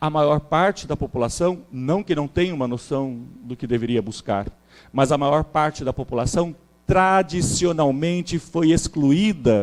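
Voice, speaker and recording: With a plain, everyday voice, a man of fairly high pitch speaks at a fairly slow pace with lively intonation. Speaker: historian, seminar speaker. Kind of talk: academic lecture.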